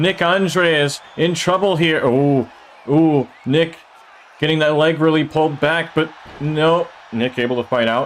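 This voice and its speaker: This man has a fairly high pitch and speaks at a fairly slow pace with very even loudness. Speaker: streamer commentating a video game wrestling show. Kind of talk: live commentary. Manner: animated.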